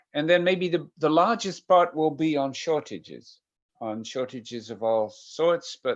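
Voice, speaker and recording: Over a quiet background, a man speaks at a fairly slow pace with a Dutch accent. His intonation is lively. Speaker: professor of medical ethics. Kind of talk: lecture. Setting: video call. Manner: hesitant, many fillers.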